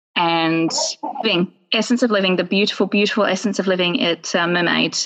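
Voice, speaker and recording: Here a woman speaks with an Australian accent at a medium pitch. Her pitch variation is ordinary. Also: very even loudness. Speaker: yoga wear business owner. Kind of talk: podcast interview. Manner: animated.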